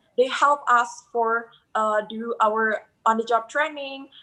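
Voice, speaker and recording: A woman speaks in a high voice with a bright, sharp tone and an Indonesian accent. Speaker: hospitality student. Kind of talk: interview testimony. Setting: live video call. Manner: halting.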